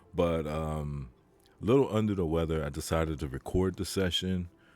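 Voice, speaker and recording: Very deep and low, a man's voice moves at a moderate pace with ordinary pitch variation. The recording is very clean, with a silent background. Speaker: futures trader streamer. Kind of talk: trading session commentary. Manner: subdued, halting.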